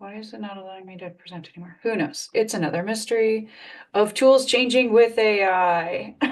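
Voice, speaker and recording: Speaking at a fairly quick pace in an unremarkable speaking voice, a woman with a fairly high pitch shows ordinary pitch variation and big swings in loudness. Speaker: tech coach. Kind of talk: live webinar tutorial. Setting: live stream video call.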